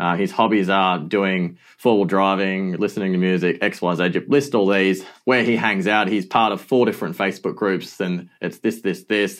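A man with an Australian accent, fairly low in pitch, at a moderate pace with fairly even intonation and hardly any pauses, on a very clean recording with a silent background. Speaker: digital marketing agency founder. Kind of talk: interview answers.

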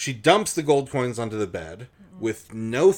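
Reading delivered in a natural reading voice

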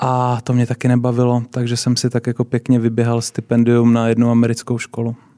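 A man of medium pitch talks at a fairly quick pace in a flat monotone with a dark, mellow tone, on a very clean recording with a silent background and a dry, close sound with no echo. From Czechia, Brno. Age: 20s. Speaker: school founder. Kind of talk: casual interview.

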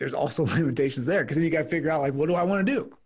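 A somewhat breathy man with lively intonation, in a very clean recording with a silent background. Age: 30s. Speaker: business owner, attorney. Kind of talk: podcast interview.

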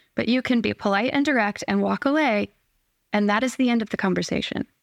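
Recorded very cleanly against a silent background, a woman's medium-pitched voice carries vocal fry and ordinary pitch variation, with a dry, close sound and no echo. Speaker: guest sharing chronic illness story. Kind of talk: casual chat.

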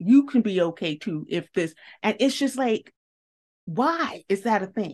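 A woman with a Southern US accent speaks at a fairly slow pace, her pitch swinging very widely against a quiet background. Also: medium pitch for a woman. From US South. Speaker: podcast host. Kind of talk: interview. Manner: emotional.

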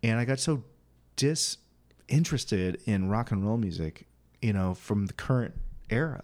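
A man with a normal speaking voice and an American accent, medium pitch, lively intonation, moderate pace, very even loudness, and a very clean recording with a silent background. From Quincy, Illinois (rural western Illinois, US Midwest). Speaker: singer-songwriter and guitar teacher. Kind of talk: casual interview chat. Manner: casual, with many fillers.

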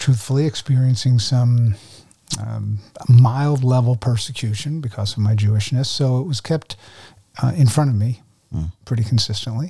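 With an American accent, a man speaks at a moderate pace in a medium pitch, his tone dark and mellow, somewhat breathy, with ordinary pitch variation. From New Jersey, US. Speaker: former ministry director and guest lecturer. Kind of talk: testimony.

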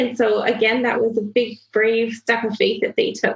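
A woman with a fairly high pitch talks at a moderate pace, her voice showing a slightly husky edge and vocal fry.

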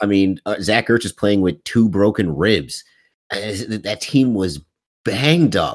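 Here a man speaks with lively intonation. His pace is fairly slow. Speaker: podcast co-host. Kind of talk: casual sports chat.

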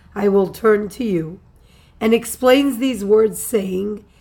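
With audible room echo, a woman speaks very slowly in a dark, mellow tone, her pitch varying in an ordinary way. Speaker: Torah teacher. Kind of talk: religious text lecture. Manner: formal.

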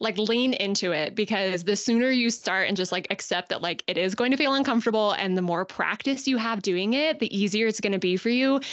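A woman's fairly high voice at a fairly quick pace, hardly any pauses, very even loudness and ordinary pitch variation. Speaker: podcast host. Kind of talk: casual interview. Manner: animated.

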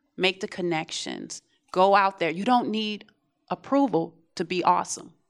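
At a fairly slow pace, a woman with an ordinary speaking voice and medium pitch talks with ordinary pitch variation. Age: 40s. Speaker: audience member. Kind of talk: audience feedback. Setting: classroom with live audience.

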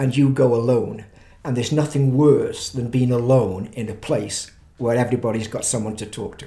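In a room with audible echo, a man with a medium pitch and a somewhat breathy voice speaks with big swings in loudness. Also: fairly even intonation, moderate pace. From England, Stoke-on-Trent. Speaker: pastor. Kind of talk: interview testimony.

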